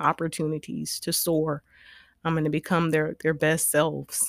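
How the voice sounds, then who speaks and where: Someone with a South Carolina accent speaks at a moderate pace in a monotone, flat intonation, on a very clean recording with a silent background and a dry, close sound with no echo. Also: woman. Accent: US Southern (South Carolina). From South Carolina, Orangeburg. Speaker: educator and political candidate. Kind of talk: interview. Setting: studio.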